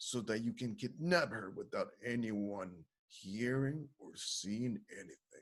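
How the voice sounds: Lively intonation runs through a natural reading voice. The background is quiet.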